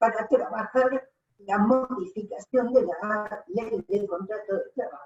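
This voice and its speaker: A woman speaks at a very slow pace. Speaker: gender policy commission coordinator. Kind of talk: audience comment in online talk.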